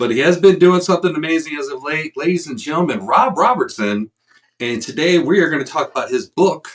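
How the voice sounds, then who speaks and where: A man speaks at a fairly quick pace with a fairly high pitch. His intonation is lively, and his voice carries vocal fry. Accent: American. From Chicago area. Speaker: podcast host. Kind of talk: interview.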